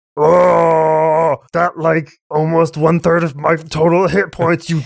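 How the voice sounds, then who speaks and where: Using a put-on character voice, a man speaks at a fairly slow pace, fairly high in pitch, with monotone, flat intonation. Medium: actual play. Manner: crude, blunt, simple speech.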